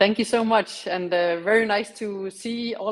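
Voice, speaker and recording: A woman speaks with a Danish accent at a medium pitch. Her pitch varies in an ordinary way. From Denmark. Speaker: diplomat. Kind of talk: keynote talk.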